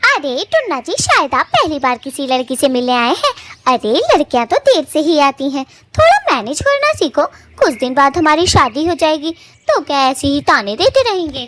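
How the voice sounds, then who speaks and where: A cartoonish character voice that sounds female comes through at a high pitch and a moderate pace. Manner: melodramatic.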